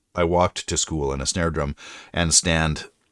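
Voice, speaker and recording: A man with a very deep, low pitch and vocal fry speaks at a moderate pace with ordinary pitch variation. The recording is very clean, with a silent background. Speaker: streamer and writer. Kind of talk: casual chat. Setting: live stream.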